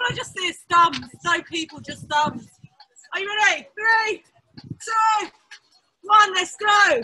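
A woman speaks at a very slow pace with a raised, projected voice, lively intonation and big swings in loudness. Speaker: fitness instructor. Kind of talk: workout class instruction and counting. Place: garden.

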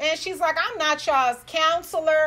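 A woman's raised, projected voice. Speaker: YouTube commentator. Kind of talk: casual commentary recap. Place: home room.

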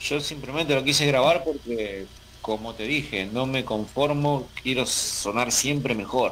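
Fairly high male voice with lively intonation and a fairly slow pace, amid noticeable background noise. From Argentina. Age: 40s. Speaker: metal musician. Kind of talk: interview.

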